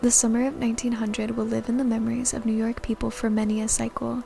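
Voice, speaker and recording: A soft-spoken woman talks at a very fast pace with a fairly high pitch. Noticeable background noise runs underneath. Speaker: VTuber streamer. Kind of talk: book reading.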